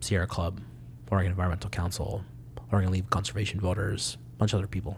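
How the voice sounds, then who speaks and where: Vocal fry runs through the man's speech, which sits at a very deep, low pitch. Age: 20s. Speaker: immigrant rights organizer. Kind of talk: casual interview.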